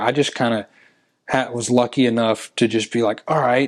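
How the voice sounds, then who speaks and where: A man with a Tennessee accent, medium pitch and moderate pace against a quiet background. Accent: Southern US (Tennessee). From US South, Tennessee (near Nashville). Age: 20s. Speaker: musician and songwriter. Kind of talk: interview. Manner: casual, with fillers and restarts.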